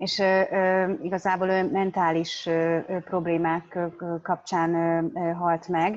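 A woman at a very slow pace with fairly even intonation. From Hungary. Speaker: interpreter. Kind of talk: consecutive interpreting. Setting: video call. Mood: reflective, personal. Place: home room. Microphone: video call.

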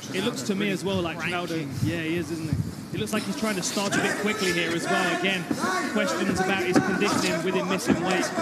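Over crowd noise, a man talks very fast at a high pitch. His tone is animated and enthusiastic, with ordinary pitch variation. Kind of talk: live fight commentary. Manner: animated, enthusiastic, rapid play-by-play.

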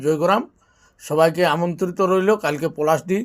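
A man speaks in a western West Bengal accent. His pitch is high. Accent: Manbhumi Bengali dialect of Purulia. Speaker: buffalo fight owner. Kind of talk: video announcement to fans.

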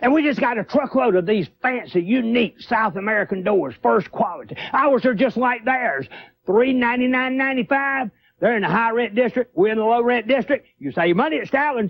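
A man's extremely high-pitched voice at a fairly quick pace. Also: ordinary pitch variation.

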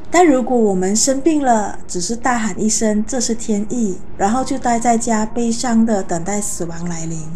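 Over light background noise, a woman with a normal speaking voice and fairly high pitch talks at a moderate pace with hardly any pauses and ordinary pitch variation. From Malaysia. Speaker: book reviewer. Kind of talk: book review monologue. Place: home room. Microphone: lapel.

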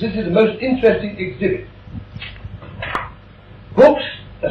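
A man talks in a high voice. Light background noise and audible room echo surround him. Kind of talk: direct-to-camera presentation. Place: workshop.

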